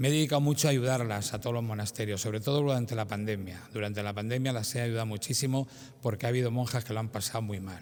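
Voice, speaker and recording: Talking at a very fast pace, a man keeps a medium pitch and fairly even intonation. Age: 70s. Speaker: parishioner giving testimony. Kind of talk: testimony.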